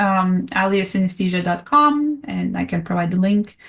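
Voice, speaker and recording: A woman's somewhat breathy voice with lively intonation and a strong non-native accent. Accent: thick non-native. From Russia (Siberia). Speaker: composer and performer, podcast guest. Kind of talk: casual chat.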